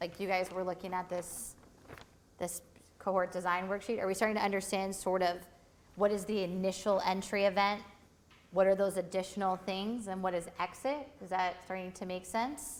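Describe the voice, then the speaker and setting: In an ordinary speaking voice, a woman talks at a medium pitch. Her pace is moderate and her intonation fairly even. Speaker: workshop instructor. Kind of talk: lecture.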